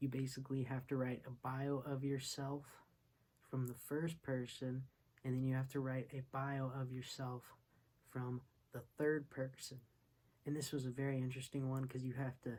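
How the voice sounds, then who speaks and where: Monotone and somewhat breathy, a man speaks with flat intonation at a medium pitch and moderate pace, leaving long, frequent pauses. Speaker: online university student and music producer. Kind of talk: casual vlog review. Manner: stumbles over words.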